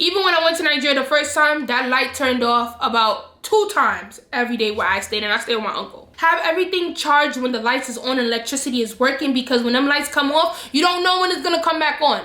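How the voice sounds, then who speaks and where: In an American accent, the voice is raised and projected, racing along at a very fast pace with hardly any pauses. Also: woman, high pitch for a woman. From New York. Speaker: travel vlogger. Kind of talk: casual vlog talk to camera. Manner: animated.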